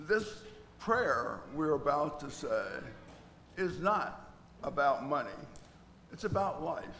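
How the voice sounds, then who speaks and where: A man's high voice with ordinary pitch variation, fairly slow, in audible room echo. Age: 80s+. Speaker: church service leader. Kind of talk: church announcements and prayer. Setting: church.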